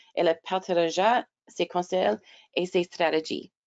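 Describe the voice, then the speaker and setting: The pace is fairly slow as a woman talks. Her voice sits at a medium pitch. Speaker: webinar moderator. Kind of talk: reading prepared notes aloud. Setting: online webinar. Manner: halting, stumbling over words.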